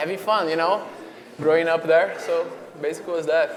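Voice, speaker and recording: A man speaks with a Brazilian accent. The recording has audible room echo and noticeable background noise. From Brazil, Fortaleza (northeast). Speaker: professional soccer player. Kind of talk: interview. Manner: casual, halting with fillers.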